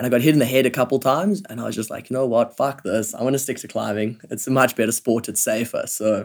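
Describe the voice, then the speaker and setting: At a fairly quick pace, a man speaks with medium pitch and ordinary pitch variation. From South Africa, Johannesburg. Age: 20s. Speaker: professional climber, Olympian. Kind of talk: casual interview chat. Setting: living room couch at home.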